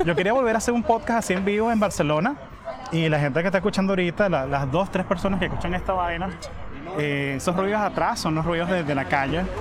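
In a room with audible echo and noticeable background noise, a man talks at a very fast pace with a high pitch. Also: ordinary pitch variation. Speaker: podcast host. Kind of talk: casual chat. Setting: cafe.

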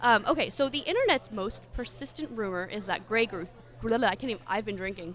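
A woman with an American accent speaks at a fairly high pitch and a fairly quick pace. She has a normal speaking voice with lively intonation. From Philadelphia. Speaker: podcast co-host. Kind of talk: live podcast recording with audience, casual banter.

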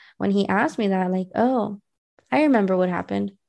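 A woman with an American accent speaks at a medium pitch in a dark, mellow tone. The background is quiet. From US West Coast, South Central Los Angeles. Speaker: holistic health coach. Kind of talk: interview. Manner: halting.

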